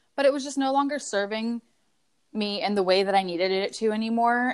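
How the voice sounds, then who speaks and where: A woman talks at a moderate pace in an ordinary speaking voice. Her pitch varies in an ordinary way. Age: 30s. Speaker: guest sharing recovery story. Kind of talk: testimony.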